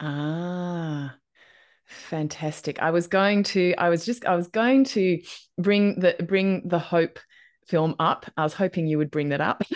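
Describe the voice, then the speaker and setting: In an unremarkable speaking voice, a woman speaks at a fairly slow pace and fairly low pitch, with ordinary pitch variation. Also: quiet background. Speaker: podcast host. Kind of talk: casual interview conversation.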